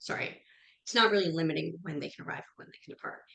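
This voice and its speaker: Ordinary pitch variation marks a woman's speech in an American accent. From US Northeast, New Jersey. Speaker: revenue management trainer. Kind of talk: webinar lecture. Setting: webinar. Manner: fast.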